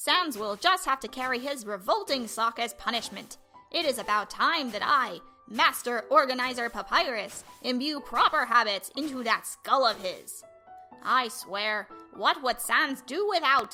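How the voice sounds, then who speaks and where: In a put-on character voice, a woman speaks at a moderate pace with a high pitch and a pompous, theatrical tone while faint music plays in the background. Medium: dub.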